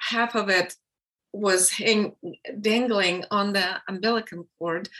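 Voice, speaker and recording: At a very slow pace, a woman with a Russian accent speaks at a medium pitch with fairly even intonation. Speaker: filmmaker and birth educator. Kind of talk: casual interview conversation.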